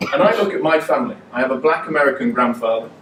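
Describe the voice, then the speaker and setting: Very wide pitch swings mark this man's speech in a Mancunian accent. He talks at a very fast pace. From Manchester, northern England. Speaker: politician. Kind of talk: political speech. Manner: animated.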